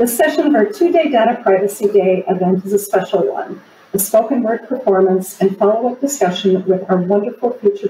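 A woman at a fairly quick pace, with light background noise and audible room echo. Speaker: chief data privacy officer. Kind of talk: event moderator introduction. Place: home room. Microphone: video call.

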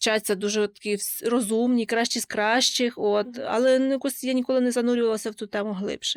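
Her voice is fairly high and delivered in a flat monotone at a fairly quick pace. The recording is dry and close, with no echo. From western Ukraine, Lviv region. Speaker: university student. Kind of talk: interview.

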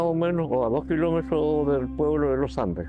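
A man at a moderate pace with ordinary pitch variation, dry sound with no echo, and music in the background. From Chile. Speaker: former soldier. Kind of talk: life story interview answer.

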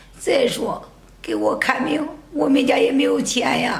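Audible room echo surrounds a woman speaking at a fairly slow pace. Her loudness swings widely. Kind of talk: acted dramatic dialogue. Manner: weak, pained voice of a sick woman.

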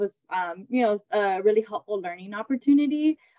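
Over a quiet background, a woman with an ordinary speaking voice talks at a moderate pace, her pitch medium and its variation ordinary. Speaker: pediatric psychologist. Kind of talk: panel discussion. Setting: video call. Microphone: video call.

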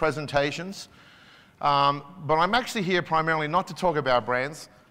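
A man with an Australian accent talks at a fairly high pitch. His tone is bright and sharp. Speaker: business executive; keynote speaker. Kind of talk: conference keynote speech. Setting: stage with audience. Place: hall. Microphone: lapel.

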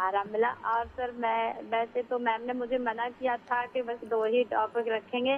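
A woman talks at a fairly slow pace with hardly any pauses. Her intonation is monotone and flat. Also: fairly high pitch for a woman. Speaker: radio caller. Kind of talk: phone-in call. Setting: phone call.

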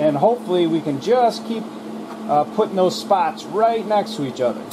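Amid audible room echo, a high-pitched man speaks at a moderate pace with lively intonation.

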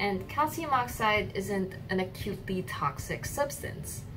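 At a fairly slow pace, a woman speaks over faint music in the background. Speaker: student intern vlogger. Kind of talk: casual vlog chat explaining science. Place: home room.

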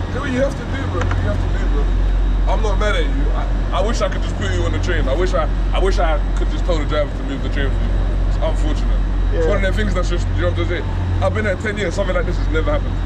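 A man talks at a very fast pace. Loud background noise surrounds him. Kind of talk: conversation. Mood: apologetic, sympathetic. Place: station. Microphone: phone near.

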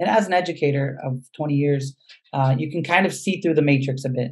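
A man's fairly high-pitched, somewhat breathy voice at a moderate pace, with ordinary pitch variation and a quiet background. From US West Coast, San Diego, California; California. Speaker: educator, nonprofit founder; educator. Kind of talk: webinar presentation. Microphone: video call.

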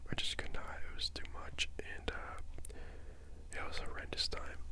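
A man is whispering. Nothing else stands out. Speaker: asmr creator. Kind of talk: ASMR whisper ramble. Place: home room. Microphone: handheld.

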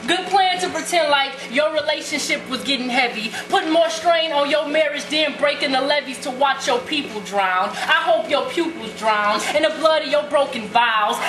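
Her tone is intense and her pitch high as the woman talks with hardly any pauses. Noticeable background noise runs underneath. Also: ordinary pitch variation, moderate pace. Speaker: spoken word poet. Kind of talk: slam poetry performance. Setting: live open mic venue. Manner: intense, fiery. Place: stage. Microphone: camera far.

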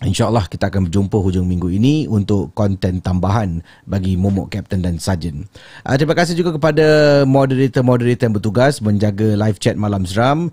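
A man with a fairly low, somewhat breathy voice and a dark, mellow tone talks at a fairly quick pace against a quiet background, the sound dry with no echo. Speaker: podcast host. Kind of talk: livestream host introduction. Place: studio. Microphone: studio mic.

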